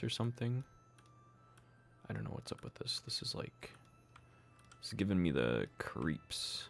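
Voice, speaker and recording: A man's voice with long, frequent pauses and music playing in the background. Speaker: game developer streamer. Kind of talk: live stream chat while working. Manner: casual, conversational.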